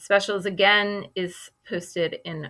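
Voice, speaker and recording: A woman's bright, sharp voice with an American accent in a very clean recording with a silent background. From Boston, US. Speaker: kindergarten teacher. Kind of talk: recorded class presentation for parents. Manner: casual with many fillers.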